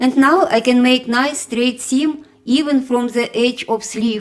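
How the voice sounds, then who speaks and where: Someone with a strong non-native accent talks at a fairly slow pace amid noticeable background noise. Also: woman. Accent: heavy foreign. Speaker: sewing tutorial creator. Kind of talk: tutorial. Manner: slow, step-by-step.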